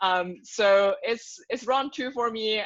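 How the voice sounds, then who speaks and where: Speaking with a Chinese accent, a woman uses a fairly high pitch and fairly even intonation. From China. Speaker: nonprofit program manager. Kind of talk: podcast interview.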